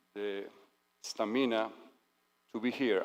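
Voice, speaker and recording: A man speaks at a medium pitch and a moderate pace with fairly even intonation. The recording is very clean, with a silent background. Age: 60s. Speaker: dignitary giving a speech. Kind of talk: ceremonial speech. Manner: formal.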